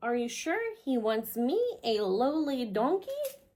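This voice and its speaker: This is a put-on character voice that sounds female, pitched high. It moves at a moderate pace. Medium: read story. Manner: soft, downcast.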